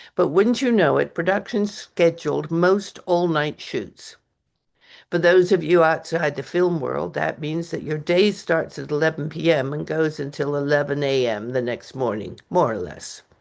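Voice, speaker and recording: Against a quiet background, a woman with a very deep, low voice and vocal fry speaks at a moderate pace with lively intonation. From English Canada. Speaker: author and retired costume designer. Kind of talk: reading aloud from own memoir. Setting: open mic reading event.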